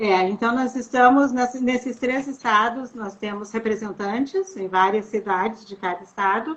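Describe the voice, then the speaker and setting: A fairly high-pitched woman speaks at a moderate pace with hardly any pauses, ordinary pitch variation and big swings in loudness, over noticeable background noise. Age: 60s. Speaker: sociologist. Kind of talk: interview.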